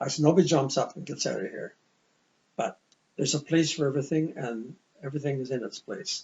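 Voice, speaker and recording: A man talks at a very fast pace, with long, frequent pauses and big swings in loudness. His voice is somewhat breathy and fairly high, with ordinary pitch variation. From Ontario, Canada. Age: old. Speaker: retired teacher and vice principal. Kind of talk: interview conversation. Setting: sit-down interview.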